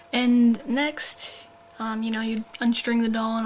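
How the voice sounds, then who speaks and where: The pace is fairly slow. The speech comes out quiet. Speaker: doll hobbyist vlogger. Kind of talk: tutorial. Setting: at home late at night. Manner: hesitant, many fillers.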